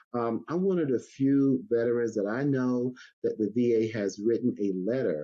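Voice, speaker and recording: Speaking in an unremarkable speaking voice with an American accent, a man keeps a moderate pace and medium pitch, with ordinary pitch variation. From US South, North Carolina Sandhills. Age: 60s. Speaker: Navy veteran and street vending advocate. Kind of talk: podcast interview.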